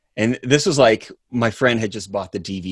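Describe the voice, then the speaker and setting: Here a man with an ordinary speaking voice uses an American accent, a moderate pace and ordinary pitch variation. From US South. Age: 30s. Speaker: actor. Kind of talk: casual chat.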